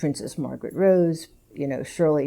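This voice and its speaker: A woman speaks in an American accent with a dark, mellow tone and ordinary pitch variation. The recording is very clean, over a silent background. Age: 80s+. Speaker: gallery owner and curator. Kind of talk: public conversation.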